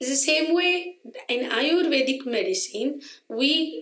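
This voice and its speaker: A high-pitched woman's voice with lively intonation at a fairly slow pace. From India. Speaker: Ayurveda physician. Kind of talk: interview.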